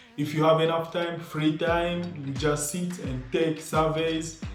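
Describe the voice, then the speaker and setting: A man talks at a fairly high pitch and a fairly slow pace. Noticeable background noise and audible room echo surround him. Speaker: YouTuber giving money-making tips. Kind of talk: casual video monologue.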